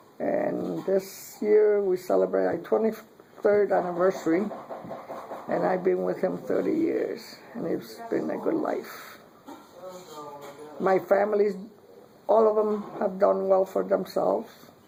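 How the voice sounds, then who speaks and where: The speaker goes at a fairly slow pace with long, frequent pauses against noticeable background noise. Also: woman. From Puerto Rico. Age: 60s. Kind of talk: interview answer.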